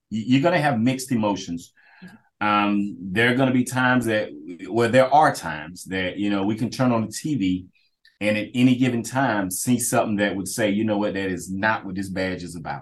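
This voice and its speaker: A man speaks with an American accent in an ordinary speaking voice, pitched fairly low. His pace is moderate and his pitch variation ordinary. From Kinston, eastern North Carolina. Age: 40s. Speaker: police officer, school resource officer. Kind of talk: interview conversation.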